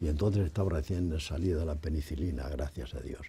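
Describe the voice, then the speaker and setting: A man's dark, mellow voice with vocal fry, at a moderate pace and with ordinary pitch variation. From Spain, Toledo province; Spain. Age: 80s+. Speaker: writer and artist; interviewee. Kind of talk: interview. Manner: halting. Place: studio. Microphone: lapel.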